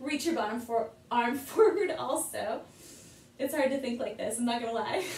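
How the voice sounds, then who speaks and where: A woman with a high pitch and lively intonation speaks amid audible room echo. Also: moderate pace. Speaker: yoga teacher. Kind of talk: guided exercise instruction. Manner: playful. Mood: light, playful. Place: home room. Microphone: camera far.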